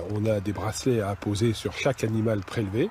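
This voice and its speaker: Over noticeable background noise, a man speaks at a medium pitch and a fairly quick pace. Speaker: hunt organizer. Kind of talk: interview answer.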